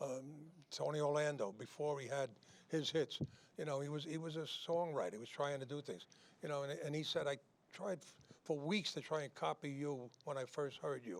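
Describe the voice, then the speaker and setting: At a fairly quick pace, a man with a New York accent speaks in a fairly high pitch. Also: ordinary pitch variation. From New York City. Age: 80s+. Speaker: singer and show host. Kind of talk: casual chat. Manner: halting.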